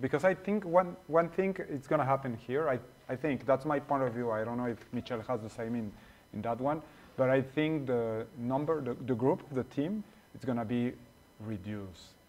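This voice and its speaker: Talking at a moderate pace in a Spanish accent, a man of medium pitch uses lively intonation. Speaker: returning guest. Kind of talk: casual chat. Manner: halting.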